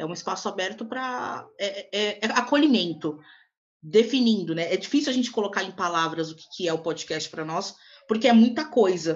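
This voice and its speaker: A woman talks at a moderate pace with a medium pitch. She has a normal speaking voice. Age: 20s. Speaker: podcast co-host, Portuguese teacher. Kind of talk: casual chat.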